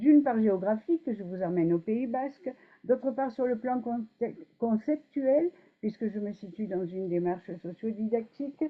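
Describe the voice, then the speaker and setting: A woman speaks with lively intonation at a fairly slow pace. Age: 70s. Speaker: emeritus professor, conference speaker. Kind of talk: conference talk. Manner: hesitant, many fillers.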